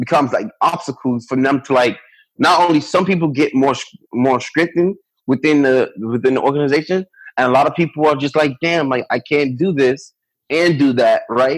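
Speaking with an American accent, a man has a fairly high pitch. His pace is moderate and his loudness very even. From Miami, Florida (Liberty City). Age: 20s. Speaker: youth organizer. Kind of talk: interview. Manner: halting, many fillers.

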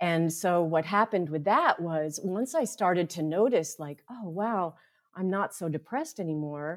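Recorded very cleanly against a silent background, a plain, everyday voice with an American accent moves through lively intonation. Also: woman. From US East (upstate New York, then Florida). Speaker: mindfulness teacher and therapist. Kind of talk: interview.

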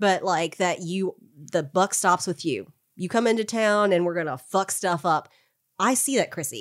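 A woman's plain, everyday voice at a medium pitch and moderate pace, with ordinary pitch variation and a very clean recording against a silent background. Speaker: tabletop role-playing podcast co-host. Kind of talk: casual chat.

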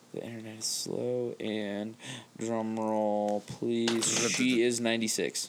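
A man's medium-pitched, flat monotone at a very slow pace, over noticeable background noise. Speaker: podcast co-host. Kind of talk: casual chat. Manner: joking.

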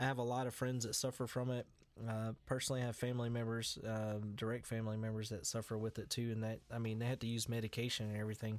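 Delivered at a very fast pace, the speech has a monotone, flat intonation and very even loudness. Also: man, medium pitch for a man. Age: 30s. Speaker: podcast host and musician. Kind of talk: casual chat.

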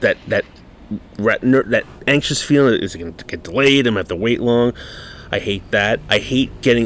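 There is noticeable background noise behind this man. He speaks at a moderate pace. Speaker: podcast host. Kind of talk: casual chat. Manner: casual, profane.

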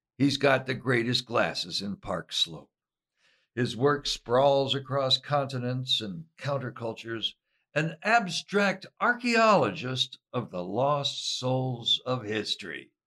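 Medium in pitch, a man speaks at a very slow pace with lively intonation. His tone is bright and sharp, with a dry, close sound and no echo. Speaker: podcast host. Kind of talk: interview.

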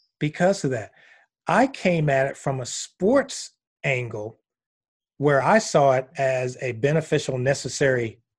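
Against a quiet background, a man with a fairly high pitch and ordinary pitch variation speaks fairly slowly and somewhat breathily, leaving long, frequent pauses. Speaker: massage therapist and educator. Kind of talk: interview.

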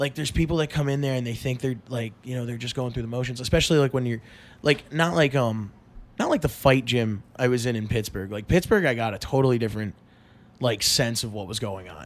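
Talking very fast, a man keeps a medium pitch with ordinary pitch variation. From eastern Pennsylvania, Allentown. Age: 20s. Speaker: podcast guest, film fan. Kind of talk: casual chat. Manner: halting, filler-heavy.

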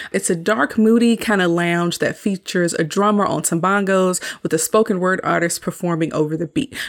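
Using an American accent, a woman talks at a fairly quick pace with hardly any pauses and very even loudness. Her medium-pitched voice has an animated tone. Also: ordinary pitch variation. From US South. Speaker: podcast host, media reviewer. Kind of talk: solo movie review. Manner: casual, animated.

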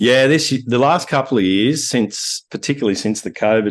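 Against a quiet background, a man with an Australian accent talks at a moderate pace with lively intonation. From Australia, Wagga Wagga, New South Wales. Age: 50s. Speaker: landscape photographer. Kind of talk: interview conversation. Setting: video call.

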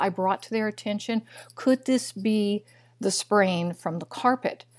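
A woman with a Midwestern American accent, ordinary pitch variation, and a very clean recording against a silent background. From US Midwest, Missouri. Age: 60s. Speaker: biochemist and nutritionist. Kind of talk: interview.

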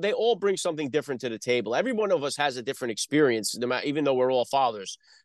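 This voice, with a Northeast US accent, moves at a very fast pace through very wide pitch swings. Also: man. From North Jersey. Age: 40s. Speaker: podcast host. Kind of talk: interview. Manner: halting, many fillers; stutters on word starts.

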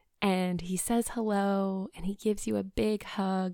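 A woman at a medium pitch speaks in a soothing, gentle, dark, mellow tone with monotone, flat intonation, on a very clean recording with a silent background and a dry, close sound with no echo. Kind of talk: guided meditation. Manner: slow, soothing, gentle pacing with calm pauses.

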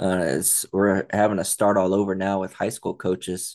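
Against a quiet background, a man with a very deep, low voice speaks at a moderate pace in a flat monotone. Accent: American. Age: 40s. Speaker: spinal cord injury survivor, foundation cofounder. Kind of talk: interview.

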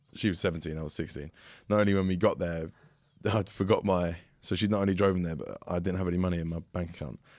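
Speaking at a very fast pace, a man with an English accent has a very deep, low pitch on a very clean recording with a silent background. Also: fairly even intonation. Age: 20s. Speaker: fitness coach and podcast co-host. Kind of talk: casual chat. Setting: studio.

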